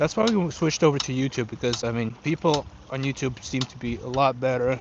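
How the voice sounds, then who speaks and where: A man of medium pitch talks fairly quickly while noticeable background noise carries on behind him. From Ukraine. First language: Russian. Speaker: fishing streamer. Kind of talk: live stream chat. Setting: outdoors by a river.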